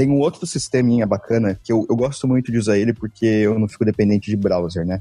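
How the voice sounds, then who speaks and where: A man with a fairly low pitch and a dark, mellow tone talks at a very fast pace with hardly any pauses. His pitch variation is ordinary and his loudness stays very even. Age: 20s. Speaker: developer advocate. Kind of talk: casual tech panel chat.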